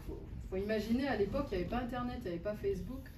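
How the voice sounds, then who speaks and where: A woman with a North African accent and ordinary pitch variation, amid audible room echo and noticeable background noise. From Algeria, Algiers. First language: Berber (speaking French). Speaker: poet and translator. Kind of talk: author talk answering a question. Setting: bookshop event with audience. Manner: halting, many hesitations.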